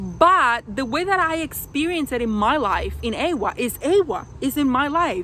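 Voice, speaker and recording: At a fairly slow pace, a bright, sharp voice with a non-native accent swings very widely in pitch. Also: woman. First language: not English. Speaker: video reviewer. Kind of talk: casual vlog review. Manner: many fillers and restarts.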